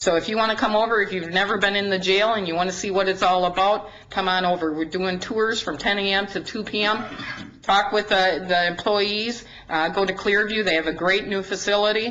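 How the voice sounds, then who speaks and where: A woman's medium-pitched voice with a Wisconsin accent, fairly quick in pace and fairly even in intonation, amid noticeable background noise and audible room echo. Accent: Upper Midwest (Wisconsin). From Wisconsin, Dodge County. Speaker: county sheriff. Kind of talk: presentation to a city council. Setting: council meeting at a podium. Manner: fast.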